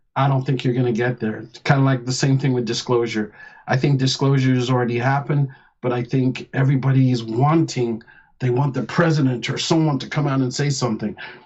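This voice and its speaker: Somewhat breathy, the voice races along at a very fast pace with fairly even intonation. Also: man, medium pitch for a man. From England, Nottingham. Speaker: former military officer. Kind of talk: radio interview.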